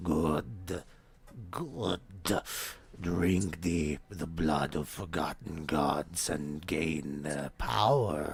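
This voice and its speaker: A man puts on a guttural character voice, pitched very deep and low and delivered at a very slow pace. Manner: menacing.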